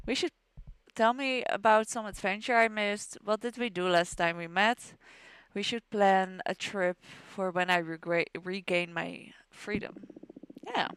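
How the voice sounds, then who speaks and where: A woman speaks with a Dutch accent at a fairly slow pace, her medium pitch showing ordinary variation. The recording is very clean, with a silent background and a dry, close sound with no echo. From Netherlands. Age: 20s. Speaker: gaming streamer. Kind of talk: reading game dialogue aloud.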